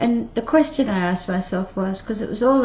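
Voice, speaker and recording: Somewhat breathy woman with an Australian accent. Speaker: retiree YouTuber. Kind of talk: casual talk to camera.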